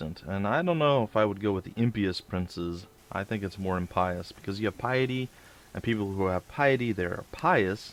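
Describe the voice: Someone plainly reads aloud. Pitch shifts by an ordinary amount.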